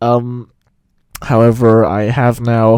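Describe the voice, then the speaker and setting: The voice belongs to a man and sits at a medium pitch. It has a dark, mellow tone. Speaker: music commentator. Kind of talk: unscripted video commentary. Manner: halting, stuttering. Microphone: recorded with Audacity, new setup.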